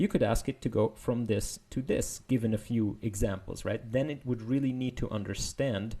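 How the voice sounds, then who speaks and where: Speaking with a non-native accent, a man has a dark, mellow tone that is somewhat breathy. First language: not English. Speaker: machine learning paper explainer. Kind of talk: technical explainer video. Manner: casual, hesitant with fillers.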